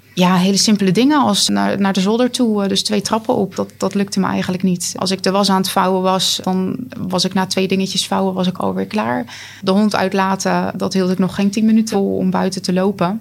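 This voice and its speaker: A woman's medium-pitched voice sits over noticeable background noise. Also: fairly even intonation, fairly quick pace. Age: 30s. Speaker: long covid patient. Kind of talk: interview.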